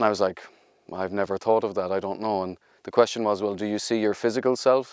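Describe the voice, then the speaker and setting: With an Irish accent, a man speaks in a flat monotone at a fairly low pitch, recorded dry and close with no echo. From Ireland. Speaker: research and innovation executive. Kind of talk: interview monologue.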